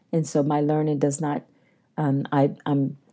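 Speaking with an American accent, a woman uses a very deep, low pitch and a dark, mellow tone, moving at a moderate pace with monotone, flat intonation. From US, Eastern Shore of Maryland. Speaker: public health physician and dean. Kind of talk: interview.

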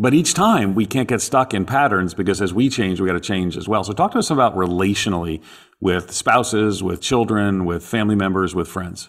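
This is an unremarkable speaking voice with ordinary pitch variation. It moves at a fairly quick pace with hardly any pauses. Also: man, fairly low pitch for a man. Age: 50s. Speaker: podcast co-host, theologian. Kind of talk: interview. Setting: remote recording from Australia.

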